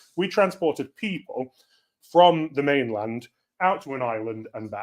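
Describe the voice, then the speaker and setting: With a British accent, a man talks in a fairly high voice. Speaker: cybersecurity speaker. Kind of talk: conference talk. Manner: loud.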